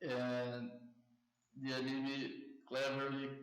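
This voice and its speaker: The speaker is a man with a Brazilian Portuguese accent at a medium pitch. His intonation is monotone and flat, and room echo can be heard. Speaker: anime commentary YouTuber. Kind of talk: casual commentary monologue. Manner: halting, with self-corrections.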